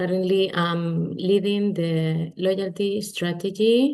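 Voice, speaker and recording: With a Spanish accent, a woman speaks in a dark, mellow tone. Her intonation is fairly even. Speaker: finance executive. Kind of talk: webinar panel introduction.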